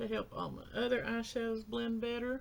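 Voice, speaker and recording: A woman mumbles her words. Noticeable background noise sits behind her. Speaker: beauty vlogger. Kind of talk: makeup tutorial talk-through. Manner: mumbling; slow.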